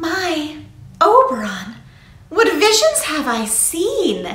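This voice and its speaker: Putting on a character voice, a woman speaks at an extremely high pitch with very wide pitch swings and a very slow pace, with a slight echo. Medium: read story.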